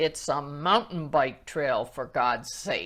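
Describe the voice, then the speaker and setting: Booming and very slow, this put-on character voice sits at a low-to-middle pitch. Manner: exasperated, commanding.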